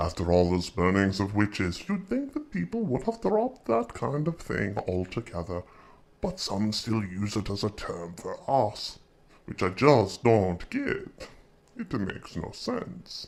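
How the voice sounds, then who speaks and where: A man's put-on character voice, playful and fairly low in pitch, at a fairly slow pace. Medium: audio drama. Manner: suave, playful.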